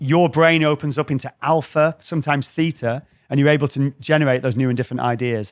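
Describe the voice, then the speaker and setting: A man's fairly high-pitched voice at a very fast pace, with a dry, close sound and no echo. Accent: northern English. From northwest England. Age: 40s. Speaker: creativity trainer. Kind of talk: live talk to an audience. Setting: stage with audience. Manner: animated.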